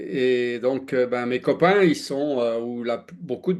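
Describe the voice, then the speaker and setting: The man speaks at a very slow pace with medium pitch. His pitch varies in an ordinary way over a quiet background. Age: 60s. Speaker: former airline pilot, health speaker. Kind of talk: presentation talk. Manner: halting, many fillers.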